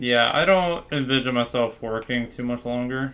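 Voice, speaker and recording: A man with an American accent speaks in a normal speaking voice. His pitch is medium and his pace is moderate. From Florida, US. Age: 20s. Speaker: gaming streamer. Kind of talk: casual livestream chat. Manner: casual, filler-heavy.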